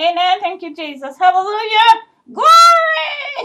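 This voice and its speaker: A woman shouts loudly in a cartoonish character voice. Her pitch is extremely high, and her pace is fairly slow. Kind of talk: gospel church shouting, comic. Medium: puppet show. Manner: exuberant, sassy, loud praise shouts.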